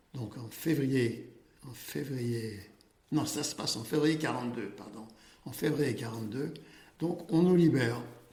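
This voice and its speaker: A medium-pitched man speaks with big swings in loudness and long, frequent pauses, amid noticeable background noise and audible room echo. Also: ordinary pitch variation, fairly slow pace. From France, Paris. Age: 80s+. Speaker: Holocaust survivor, accountant. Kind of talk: testimony. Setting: office. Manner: halting.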